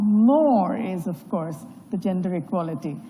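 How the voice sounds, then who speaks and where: A woman speaks fairly slowly with lively intonation. Audible room echo and noticeable background noise surround her voice. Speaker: panel moderator. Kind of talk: panel moderation speech. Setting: conference stage with audience. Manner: loud.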